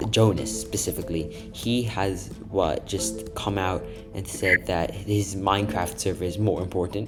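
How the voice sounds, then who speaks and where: The speaker's fairly slow delivery is accompanied by music in the background. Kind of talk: video essay narration.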